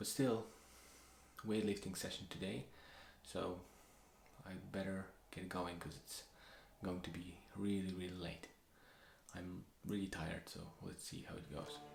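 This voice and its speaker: A man speaks with a Polish accent in a very deep, low voice, with ordinary pitch variation. His pace is fairly slow with long, frequent pauses, and the room echo is audible. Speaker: vlogger, amateur runner. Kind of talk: video diary.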